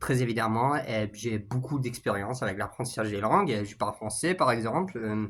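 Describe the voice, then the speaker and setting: This man talks at a moderate pace. His voice is medium in pitch, with ordinary variation. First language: English (speaking French). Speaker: YouTuber, language learner. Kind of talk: casual vlog monologue. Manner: halting, many fillers and repetitions.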